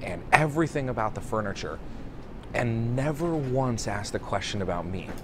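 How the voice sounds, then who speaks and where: There is audible room echo around this man's medium-pitched voice. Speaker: restaurant consultant. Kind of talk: casual video monologue. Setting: airport. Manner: quiet.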